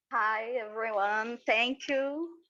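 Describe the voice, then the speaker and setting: A woman with a Portuguese accent speaks at a very slow pace with ordinary pitch variation. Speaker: conference presenter. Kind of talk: academic presentation.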